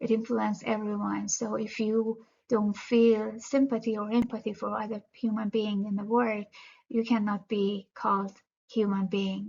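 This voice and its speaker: Speaking in a Persian accent, a woman uses a fairly high pitch and a somewhat breathy voice, keeping a monotone, flat intonation at a moderate pace. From Iran, Tehran. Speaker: student. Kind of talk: class presentation. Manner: halting, many fillers.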